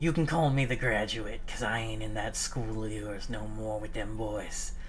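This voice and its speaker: Raspy and delivered at a moderate pace, this put-on character voice sits over clear background noise. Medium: actual play.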